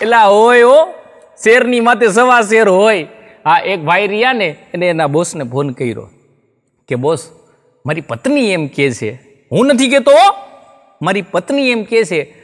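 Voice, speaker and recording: In a quiet setting, a man with a high pitch speaks with very wide pitch swings. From Gujarat, India. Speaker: stand-up comedian and writer; stand-up comedian. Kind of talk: comic storytelling monologue. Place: studio. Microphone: lapel.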